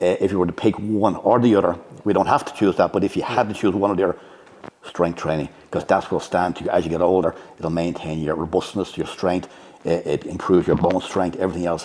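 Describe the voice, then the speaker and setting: Talking at a very fast pace, a man with a very deep, low pitch and an Irish accent keeps his intonation fairly even. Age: 60s. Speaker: bodybuilding coach and judge. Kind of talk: podcast interview.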